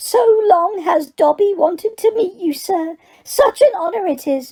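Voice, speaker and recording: In a put-on character voice pitched extremely high, a woman talks at a moderate pace. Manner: eager, reverent.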